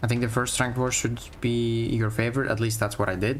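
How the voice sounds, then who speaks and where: The speech moves at a very fast pace. Audible room echo surrounds it. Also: man. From Greece. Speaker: gaming streamer. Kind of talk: live stream gameplay commentary. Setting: live stream. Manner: casual, conversational.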